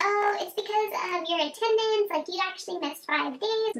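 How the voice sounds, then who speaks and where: A woman's squeaky, extremely high put-on character voice over clear background noise. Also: moderate pace, ordinary pitch variation. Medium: solo performance. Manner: casual, indifferent.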